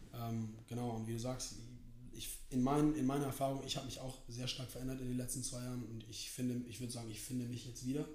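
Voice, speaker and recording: Speaking very fast in a flat monotone, a man of medium pitch is heard amid noticeable background noise and audible room echo. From New York, USA. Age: 20s. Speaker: basketball player and student. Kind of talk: casual chat.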